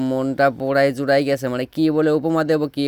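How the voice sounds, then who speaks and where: Pitched fairly high for a man, his voice carries a Pabna accent and sounds dry and close with no echo. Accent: Pabna regional dialect. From Bangladesh, Pabna. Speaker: travel vlogger. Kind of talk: vlog narration. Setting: outdoors. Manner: animated.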